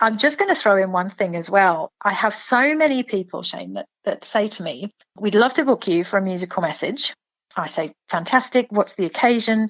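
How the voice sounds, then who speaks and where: A woman with an English accent speaks at a medium pitch. Her intonation is lively and her pace moderate. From England. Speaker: singer and performer. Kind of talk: interview.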